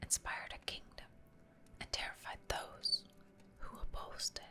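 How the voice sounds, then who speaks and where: A woman whispers at a fairly slow pace against noticeable background noise. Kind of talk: ASMR lore reading, whispered story narration. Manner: whispered, soft, relaxing.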